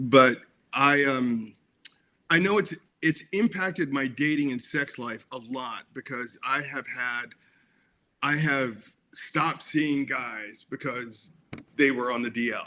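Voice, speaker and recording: A man talks at a very slow pace with long, frequent pauses, his voice fairly high and bright with a sharp edge. His pitch varies an ordinary amount. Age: 60s. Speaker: actor and film director. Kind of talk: interview. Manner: animated; halting.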